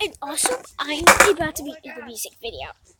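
A woman talks at a moderate pace with noticeable background noise. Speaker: YouTuber. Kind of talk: casual vlog. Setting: outdoors. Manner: loud.

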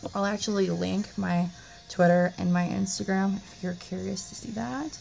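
With music in the background, a woman speaks at a fairly slow pace and with ordinary pitch variation. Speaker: beauty vlogger. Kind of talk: casual vlog. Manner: halting, many fillers.

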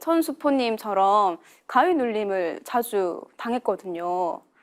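A woman's voice with very wide pitch swings, in a very clean recording with a silent background. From South Korea, Yeongcheon, North Gyeongsang. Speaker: religious practitioner. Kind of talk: testimony.

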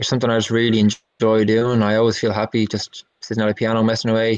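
There's a quiet background as a man talks at a medium pitch. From Ireland. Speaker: musician and songwriter. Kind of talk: casual interview chat. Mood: relaxed, reflective. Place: home room. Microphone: video call.

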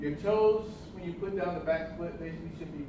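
The speech moves at a fairly quick pace, with noticeable background noise and audible room echo. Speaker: tai chi instructor. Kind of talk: tutorial. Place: hall. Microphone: camera far.

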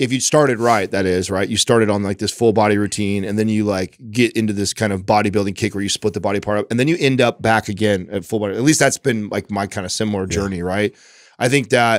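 In a dry sound with no echo and a quiet background, a man with a fairly low pitch and ordinary pitch variation talks at a very fast pace with hardly any pauses. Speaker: podcast co-host. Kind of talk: casual podcast discussion. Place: studio. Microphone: studio mic.

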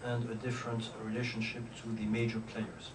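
A man with a French accent speaks at a fairly quick pace in a monotone, flat intonation. Noticeable background noise can be heard. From France. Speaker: diplomat; ambassador lecturer. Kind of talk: lecture. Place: classroom. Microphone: podium.

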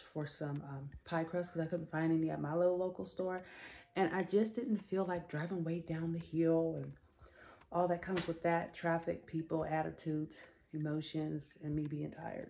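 A woman with a fairly low pitch speaks at a moderate pace in an ordinary speaking voice. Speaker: home vlogger. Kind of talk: casual vlog chat. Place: home room. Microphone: phone near.

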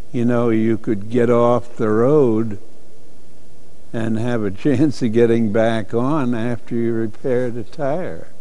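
A man with a medium pitch talks at a very slow pace. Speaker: car enthusiast interviewee. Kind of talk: interview answer. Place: hall. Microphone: lapel.

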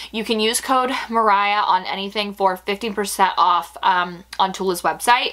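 A woman speaks at a medium pitch and a fairly slow pace, with hardly any pauses. Her tone is animated, bright and sharp. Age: 20s. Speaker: beauty and fashion youtuber; fashion vlogger. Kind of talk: product review vlog. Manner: chatty, animated. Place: home room.

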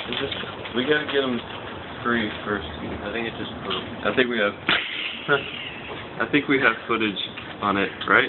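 Over loud background noise, a man speaks fairly slowly at a medium pitch with fairly even intonation and long, frequent pauses. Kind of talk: casual talk to camera. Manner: playful, affectionate, coaxing. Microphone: phone near.

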